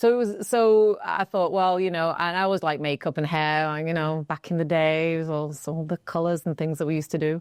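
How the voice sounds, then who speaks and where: In a very clean recording with a silent background and a dry, close sound with no echo, a woman with an American accent speaks at a fairly quick pace with hardly any pauses, her fairly low pitch varying in an ordinary way. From Manchester, northern England. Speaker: wedding hair and makeup artist. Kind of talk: casual podcast interview.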